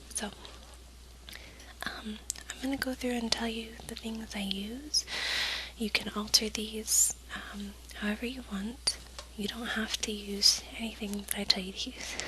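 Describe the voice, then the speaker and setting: A woman whispers at a fairly slow pace, leaving long, frequent pauses. Her loudness swings widely, and noticeable background noise is present. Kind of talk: ASMR cooking tutorial. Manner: whispered.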